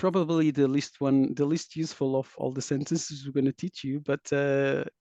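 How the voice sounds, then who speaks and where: Here a man talks at a moderate pace with a non-native accent. His voice is fairly high, with a dark, mellow tone, in a dry, close sound with no echo. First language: not English. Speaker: taiko dojo host interviewer. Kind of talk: casual interview.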